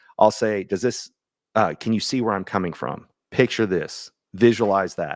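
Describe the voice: On a very clean recording with a silent background, a man does a hoarse, put-on character voice at a fairly low pitch and moderate pace.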